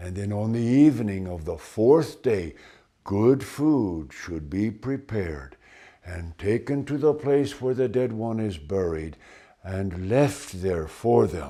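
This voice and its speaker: A man speaks in a put-on character voice at a fairly slow pace, his pitch fairly low. The recording is very clean, with a silent background. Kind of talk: ghost story telling. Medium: read story. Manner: measured, deliberate storytelling pace.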